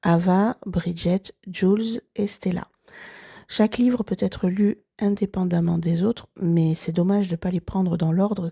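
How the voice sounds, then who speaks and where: In a very clean recording with a silent background and a dry, close sound without echo, a woman speaks fairly slowly at a medium pitch, her fairly even intonation set in a dark, mellow, somewhat breathy tone. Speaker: book podcaster. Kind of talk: book review monologue.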